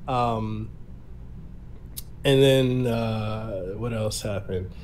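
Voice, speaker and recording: Someone with an American accent speaks in audible room echo. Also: man. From Samoa and Memphis, US South. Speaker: podcast host and content creator. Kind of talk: casual interview chat. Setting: online podcast recording.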